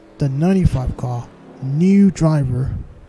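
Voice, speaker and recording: Music plays behind a man who speaks at a fairly slow pace, his fairly high voice showing ordinary pitch variation. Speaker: sim racing league commentator. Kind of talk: live game commentary. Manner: quiet, low energy; occasional difficulty speaking.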